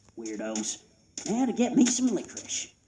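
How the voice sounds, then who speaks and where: A man puts on a character voice. It is extremely high-pitched and delivered at a moderate pace. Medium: machinima.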